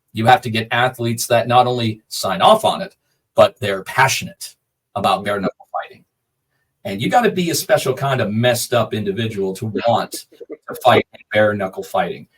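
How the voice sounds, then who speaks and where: A somewhat breathy male voice with lively intonation and big swings in loudness. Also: medium pitch for a man, moderate pace. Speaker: combat sports ring announcer. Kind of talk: interview answer.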